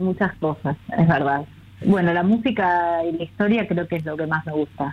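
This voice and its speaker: A woman uses a normal speaking voice at a moderate pace. Her pitch is fairly low, with ordinary variation. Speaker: children's book author. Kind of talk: casual interview.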